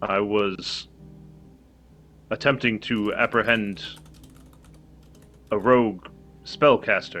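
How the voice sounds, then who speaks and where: Putting on a character voice at medium pitch, a man speaks at a fairly slow pace with long, frequent pauses while faint music plays in the background. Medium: actual play. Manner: terse, formal.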